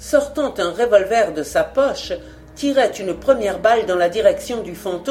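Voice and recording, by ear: The intonation is lively throughout. Someone reads aloud in a natural voice.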